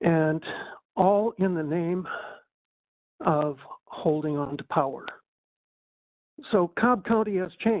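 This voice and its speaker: At a very slow pace with long, frequent pauses, a man with a high pitch speaks with ordinary pitch variation. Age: 60s. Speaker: public commenter. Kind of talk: public comment.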